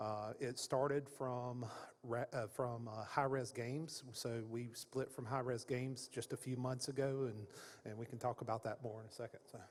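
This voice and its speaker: With a Southern US accent, a man speaks at a moderate pace in a monotone, flat way. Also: medium pitch for a man. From Florida, US South. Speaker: games industry executive, panelist. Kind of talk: conference panel discussion. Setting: stage with audience at conference.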